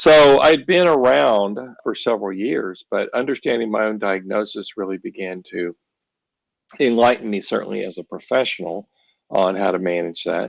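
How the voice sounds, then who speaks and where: With lively intonation, a man speaks at a moderate pace in an unremarkable speaking voice that sits fairly low. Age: 60s. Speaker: ADHD therapist and author. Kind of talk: podcast interview.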